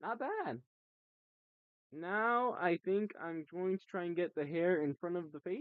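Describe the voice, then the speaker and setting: Speech at a fairly slow pace, broken by long, frequent pauses. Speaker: live streamer / artist. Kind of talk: casual live stream chat while drawing. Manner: rambling with frequent fillers.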